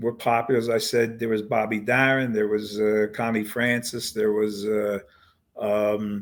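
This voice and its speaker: Speaking in a Philadelphia accent, a man talks at a fairly slow pace with fairly low pitch and monotone, flat intonation. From US Northeast, Philadelphia. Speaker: singer-songwriter and pianist. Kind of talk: interview. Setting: podcast. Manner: halting.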